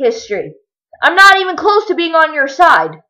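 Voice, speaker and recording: Raising and projecting her voice, a woman with a bright, sharp tone speaks at a moderate pace with very wide pitch swings. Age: 20s. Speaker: vlogger. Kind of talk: rant. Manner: animated.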